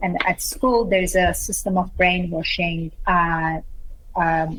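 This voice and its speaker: A woman's fairly low voice at a very slow pace, very even in loudness, with fairly even intonation and noticeable background noise. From Iran. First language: Persian. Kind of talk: testimony. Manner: halting.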